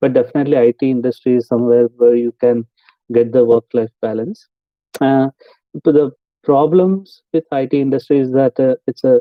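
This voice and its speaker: At a fairly quick pace, a man talks in a medium pitch. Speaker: IT project manager. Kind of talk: online interview Q&A with students. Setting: video call. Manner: fast; hesitant, many fillers.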